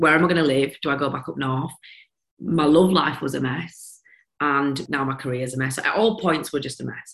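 Someone with a Yorkshire accent talks at a very fast pace with ordinary pitch variation. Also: woman. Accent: broad Yorkshire. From Yorkshire, England. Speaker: business founder, former teacher. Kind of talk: casual interview chat.

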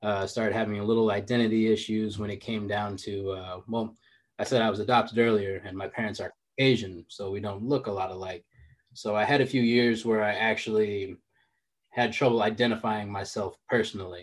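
A man with an American accent, fairly low pitch, monotone, flat intonation and a fairly quick pace over a quiet background. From Chicago and San Francisco Bay Area, US. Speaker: fitness coach and entrepreneur. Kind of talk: interview conversation.

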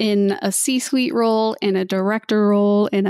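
A woman speaks at a moderate pace with a medium pitch and fairly even intonation, in a very clean recording with a silent background and a dry, close sound with no echo. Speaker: cybersecurity consultant, Navy veteran. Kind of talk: interview conversation. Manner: quietly confident.

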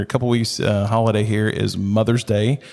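This man talks at a fairly quick pace in an ordinary speaking voice, medium-pitched, with an American accent, on a very clean recording with a silent background. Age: 40s. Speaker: missionary. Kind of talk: casual chat.

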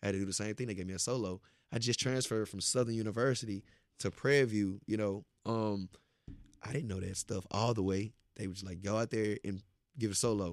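A man with an American accent, a fairly low pitch, a normal speaking voice, fairly even intonation and a fairly quick pace. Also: very clean recording, silent background. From Beaumont, Texas. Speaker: motivational speaker. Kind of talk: casual interview, testimony.

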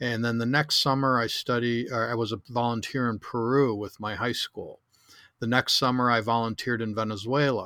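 On a very clean recording with a silent background, a man with an American accent speaks at a medium pitch in a bright, sharp tone with monotone, flat intonation. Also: moderate pace. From Chicago. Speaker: travel photographer and tour organizer. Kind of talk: casual interview.

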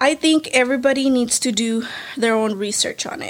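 In a plain, everyday voice, a woman speaks with fairly even intonation on a very clean recording with a silent background. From California Central Valley, US (born in Mexico, moved at one). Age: 20s. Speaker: real estate wholesaler. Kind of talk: casual interview.

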